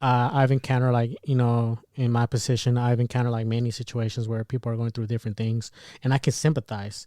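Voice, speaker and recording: Over a very clean recording with a silent background, a man with a dark, mellow tone speaks at a very fast pace in a monotone, flat intonation. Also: medium pitch for a man, dry, close sound with no echo. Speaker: podcast co-host. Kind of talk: casual chat.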